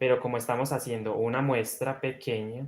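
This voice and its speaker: A man speaks in a soft-spoken way. His intonation is monotone and flat. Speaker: crochet instructor. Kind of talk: live-stream tutorial.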